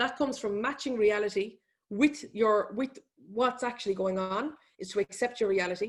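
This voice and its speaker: The voice has an Irish accent and ordinary pitch variation. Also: woman, fairly high pitch for a woman. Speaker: economist and business speaker. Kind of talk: webinar presentation. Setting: online webinar. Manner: fast.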